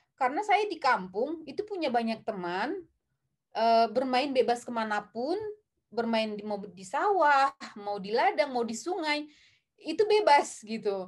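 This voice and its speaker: With a high pitch, very wide pitch swings and big swings in loudness, a woman talks at a fairly slow pace over a quiet background. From North Sumatra, Indonesia (Tarutung, Batak area); North Sumatra, Indonesia. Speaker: film director; guest. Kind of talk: interview. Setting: live stream. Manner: hesitant, many filler sounds. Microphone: webcam.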